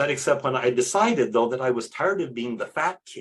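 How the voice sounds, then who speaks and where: A man with an American accent, medium-pitched and somewhat breathy, with lively intonation at a fairly quick pace. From East Texas. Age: 60s. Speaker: priest. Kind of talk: interview testimony.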